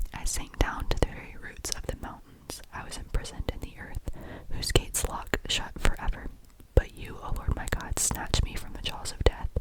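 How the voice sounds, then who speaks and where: Someone is whispering at a moderate pace. Background noise is noticeable. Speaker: ASMR creator. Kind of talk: whispered scripture reading. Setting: close-mic studio recording.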